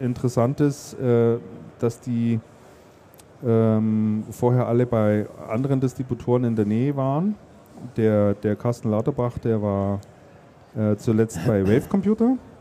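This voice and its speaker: In a dark, mellow tone, a man of medium pitch speaks at a fairly slow pace with long, frequent pauses, fairly even intonation and very even loudness. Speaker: podcast host. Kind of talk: casual chat. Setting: stage at a trade fair.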